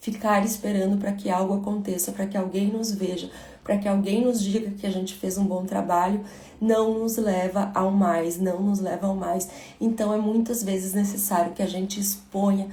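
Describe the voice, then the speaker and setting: A woman speaks with monotone, flat intonation at a medium pitch. Audible room echo surrounds her voice. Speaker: motivational speaker. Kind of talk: livestream talk.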